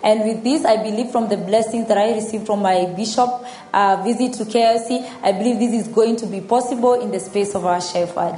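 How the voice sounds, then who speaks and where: A woman speaks at a fairly high pitch and a fairly quick pace. Noticeable background noise runs under her voice. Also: fairly even intonation. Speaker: church member. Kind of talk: testimony.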